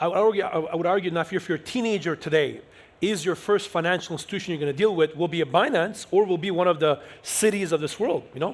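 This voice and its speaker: Loud and very fast, a man talks in a high pitch with ordinary pitch variation. The recording is very clean, and the background is silent. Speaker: panel moderator. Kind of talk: panel discussion. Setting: stage with audience.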